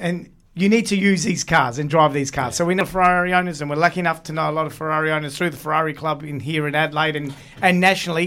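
With an Australian accent, a man speaks at a very fast pace in a bright, sharp tone. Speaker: podcaster and car enthusiast. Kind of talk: casual chat. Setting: studio.

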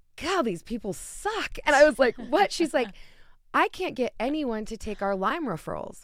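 Recorded very cleanly against a silent background, a woman talks at a moderate pace with an American accent. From Utah. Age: 30s. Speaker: wellness coach. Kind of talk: casual chat.

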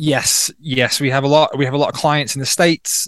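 With a Welsh accent, the speaker talks at a fairly quick pace against a quiet background, in a dry, close sound with no echo. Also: man. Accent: Welsh-British. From North Wales. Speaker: plant medicine healer and retreat co-founder. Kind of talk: interview conversation.

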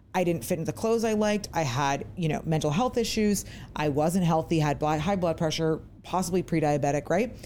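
The tone is dark and mellow, with very even loudness and lively intonation. The speaker talks at a fairly quick pace in an American accent. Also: woman, fairly low pitch for a woman. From US Virginia. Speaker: podcast host. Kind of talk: casual interview chat. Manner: excited, chatty.

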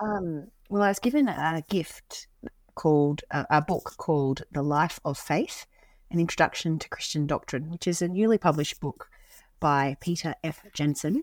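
A woman with an Australian accent speaks at a moderate pace, her pitch fairly low with ordinary variation. The sound is dry and close with no echo, on a very clean recording with a silent background. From rural Queensland, Australia. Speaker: pastor. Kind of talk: casual chat.

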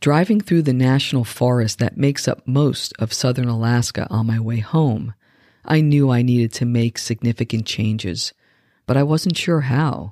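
A woman speaks at a moderate pace in a very deep, low pitch with a dark, mellow tone and ordinary pitch variation. Her loudness is very even, and the sound is dry and close with no echo on a very clean recording with a silent background. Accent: American. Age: 50s. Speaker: wellness coach and podcast host. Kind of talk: scripted monologue. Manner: calm, measured.

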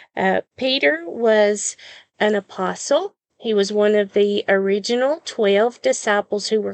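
A woman's very slow, medium-pitched voice with a Southern US accent and a warm tone, dry and close with no echo. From US South. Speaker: podcast host and Bible devotional teacher. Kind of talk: devotional Bible teaching. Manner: warm, sincere, with frequent filler pauses.

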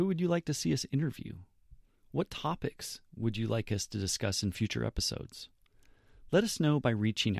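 Recorded very cleanly against a silent background, a man with an American accent speaks at a fairly quick pace and medium pitch, his pitch swinging very widely, in a dry, close sound with no echo. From US West Coast, California. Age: 40s. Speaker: podcast host. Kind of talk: scripted narration. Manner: formal.

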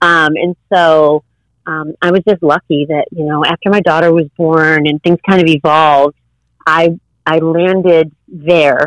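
In an American accent, a woman speaks at a fairly slow pace with a fairly low pitch and monotone, flat intonation, the sound dry and close with no echo. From US Midwest, Chicago northwest suburbs. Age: 50s. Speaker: yoga teacher. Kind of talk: casual interview chat.

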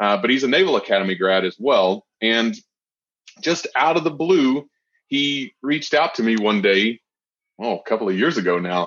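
This man speaks at a moderate pace in a medium pitch, his voice swinging very widely up and down. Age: 30s. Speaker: podcast host and real estate investor. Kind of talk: casual interview.

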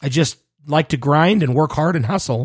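A man's fairly high voice at a fairly quick pace, on a very clean recording with a silent background. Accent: Western US. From Utah (Salt Lake City). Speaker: podcast host, HR professional. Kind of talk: casual monologue.

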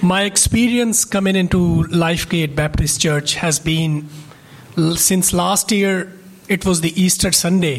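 A man's high-pitched voice at a fairly slow pace, with noticeable background noise. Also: very even loudness. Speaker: church member. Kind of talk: testimony. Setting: church.

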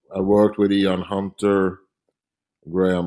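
In a Swedish accent, this dark, mellow voice comes through on a very clean recording with a silent background. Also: man. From Sweden, Stockholm. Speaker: painter. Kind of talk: interview.

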